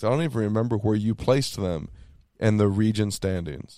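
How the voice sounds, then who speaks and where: Here a man has a plain, everyday voice with an American accent, a fairly low pitch, ordinary pitch variation and a fairly quick pace. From Texas. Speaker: sports podcast host. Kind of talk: casual chat.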